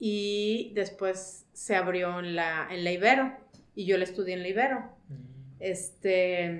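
Amid audible room echo, a woman speaks very slowly at a medium pitch. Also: ordinary pitch variation. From Mexico, León, Guanajuato. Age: 40s. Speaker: mother. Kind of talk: casual chat.

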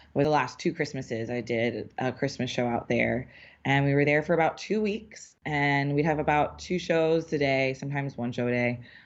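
Woman with an American accent, very deep, low pitch, ordinary pitch variation and a moderate pace with hardly any pauses. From New Orleans, US South. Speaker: professional dancer and cheerleader. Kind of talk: interview. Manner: casual with fillers.

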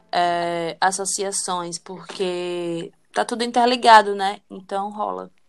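On a very clean recording with a silent background, a woman at medium pitch speaks at a very slow pace with fairly even intonation. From Brazil, Aracaju, Sergipe (Northeast). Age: 20s. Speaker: tarot reader. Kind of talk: casual chat.

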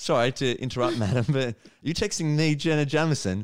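Speaking with an Australian accent, a man uses lively intonation at a fairly high pitch. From Australia, Melbourne. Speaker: stand-up comedian. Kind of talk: casual chat. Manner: animated.

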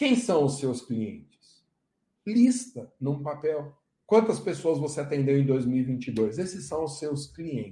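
Somewhat breathy and fairly high in pitch, a man talks with lively intonation. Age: 40s. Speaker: law professor and lawyer. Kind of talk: live online lecture.

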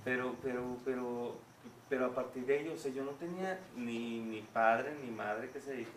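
At a moderate pace and medium pitch, a man talks with ordinary pitch variation, with audible room echo and noticeable background noise. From Mexico City, with 11 years in Guadalajara. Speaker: singer. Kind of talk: casual chat.

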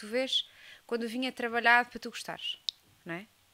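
Her tone is bright and sharp as a woman speaks at a fairly high pitch. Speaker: geographer working in wine marketing. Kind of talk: casual chat.

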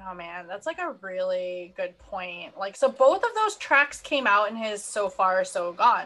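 A woman with a plain, everyday voice speaks at a fairly slow pace and medium pitch, with hardly any pauses. Her intonation is lively and her loudness swings widely. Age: 30s. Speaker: podcast co-host and astrologer. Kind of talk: casual chat.

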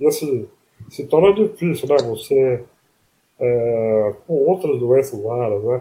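A man speaks very slowly with a dark, mellow, somewhat breathy tone and lively intonation. Long pauses come often. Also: medium pitch for a man. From interior of São Paulo state (Palmital). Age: 40s. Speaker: person with ALS. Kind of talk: interview. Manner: halting.

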